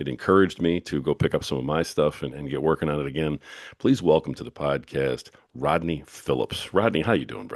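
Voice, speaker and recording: The voice has noticeable vocal fry and moves at a fairly quick pace. The sound is dry and close, with no echo. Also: man, very deep, low pitch for a man, ordinary pitch variation. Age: 50s. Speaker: podcast host and author. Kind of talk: interview. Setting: podcast.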